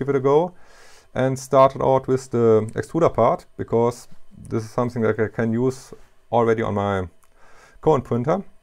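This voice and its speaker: Over a quiet background, a man with a German accent speaks with fairly even intonation. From Germany. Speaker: hobbyist machinist YouTuber. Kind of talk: tutorial. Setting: home workshop in basement. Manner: halting, with fillers. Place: workshop.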